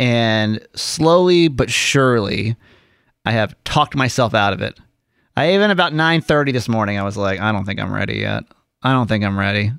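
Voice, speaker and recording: A man speaks in a normal speaking voice at medium pitch with lively intonation and a moderate pace. The recording is very clean, with a silent background. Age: 40s. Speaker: radio show co-host. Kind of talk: casual chat. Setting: studio.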